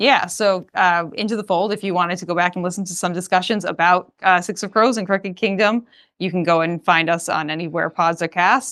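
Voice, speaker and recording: The speaker has a Boston accent and a fairly quick pace with hardly any pauses. Intonation is fairly even on a very clean recording with a silent background. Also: woman, medium pitch for a woman. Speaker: podcast guest, fellow podcaster. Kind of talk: casual chat.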